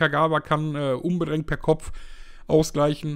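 A man's plain, everyday voice, fairly high in pitch, moves along at a moderate pace. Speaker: football talk show host. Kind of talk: casual chat. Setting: online group voice call.

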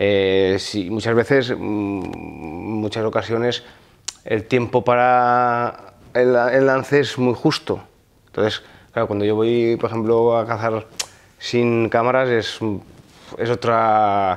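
The speech moves at a very slow pace with fairly even intonation. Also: man. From Val d'Aran, Catalonia (Spain). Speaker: hunter and firefighter. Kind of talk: casual interview. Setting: outdoors in France. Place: home room.

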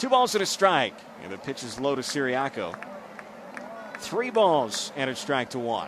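With long, frequent pauses and noticeable background noise behind him, a man with a fairly high pitch swings very widely in pitch and greatly in loudness. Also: moderate pace. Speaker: baseball play-by-play announcer. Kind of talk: baseball play-by-play broadcast call.

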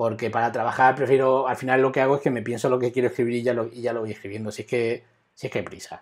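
Against a quiet background, a man talks at a very fast pace. His intonation is monotone and flat. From Spain. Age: 40s. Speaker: web developer; web development instructor. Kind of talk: live coding tutorial; tutorial. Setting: live stream. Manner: halting, with many repetitions.

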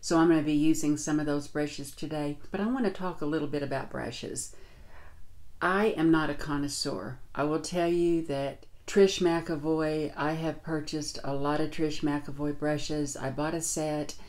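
A woman's very deep, low-pitched voice at a moderate pace, with fairly even intonation. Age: 60s. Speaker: beauty vlogger. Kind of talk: tutorial. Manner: casual. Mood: warm, relaxed. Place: home room.

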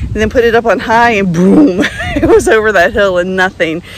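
Over light background noise, a woman speaks at a moderate pace with a dry sound and no echo. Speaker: vlogger reviewing an e-bike. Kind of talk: casual vlog chat. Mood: cheerful, laughing at times. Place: open country. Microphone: phone near.

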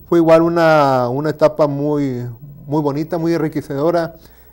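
A man's flat, monotone voice with a Tabasco accent. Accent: Mexican Spanish, Tabasco. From Mexico, Villahermosa, Tabasco; Tabasco, Mexico. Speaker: university lecturer; teacher being interviewed. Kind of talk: interview. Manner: halting. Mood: relaxed, reflective. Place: studio. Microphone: lapel.

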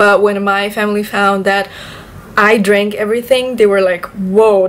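A woman talks at a moderate pace and a medium pitch. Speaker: vlogger. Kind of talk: casual vlog chat. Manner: casual, chatty. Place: home room. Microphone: camera far.

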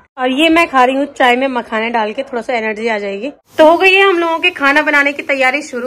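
Here, a woman speaks at a moderate pace. Her pitch is high. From Uttarakhand, Rudraprayag. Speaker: vlogger. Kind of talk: casual vlog talk to camera. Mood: cheerful festive. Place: kitchen. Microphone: phone near.

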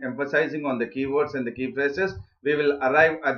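With fairly even intonation, a man speaks at a fairly quick pace in quiet surroundings. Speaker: online exam tutor. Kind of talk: lecture. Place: home room.

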